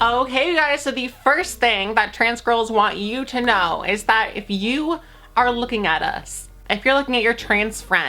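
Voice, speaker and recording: Music behind a woman's fairly high voice, fairly slow and lively in intonation. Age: 20s. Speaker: YouTuber. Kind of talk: casual vlog talk to camera. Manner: animated.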